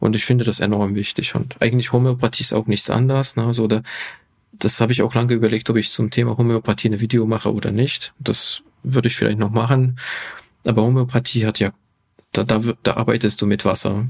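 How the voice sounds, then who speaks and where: Somewhat breathy man with a Hungarian accent, medium-pitched and monotone with flat intonation, at a very fast pace. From Hungary. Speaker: physician and health YouTuber. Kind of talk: podcast interview.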